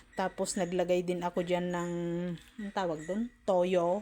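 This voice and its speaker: A dark, mellow tone carries the voice. Delivery runs fairly slow. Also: woman. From Philippines. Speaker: cooking vlogger. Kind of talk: casual cooking tutorial. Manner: chatty, frequent laughter.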